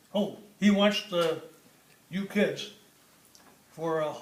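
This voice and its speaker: High-pitched male voice with noticeable background noise. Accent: American. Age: 80s+. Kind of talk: family reminiscence.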